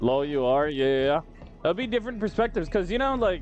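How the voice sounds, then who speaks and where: The pitch swings very widely over music playing in the background. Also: man. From US, Mexican-American family. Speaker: gaming YouTuber and streamer. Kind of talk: gameplay commentary. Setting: live stream with chat. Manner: animated; casual, filler-heavy.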